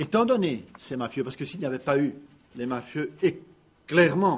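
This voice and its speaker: With ordinary pitch variation, a man talks at a moderate pace in a fairly high pitch. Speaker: lawyer. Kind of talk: press conference statement. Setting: press conference. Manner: loud, carrying voice.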